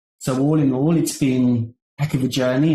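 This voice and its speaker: With a British accent, this man has a fairly high pitch and a dark, mellow tone, speaking at a moderate pace with fairly even intonation. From United Kingdom, London area. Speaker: marketing agency founder. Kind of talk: podcast interview. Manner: halting, many repetitions and fillers.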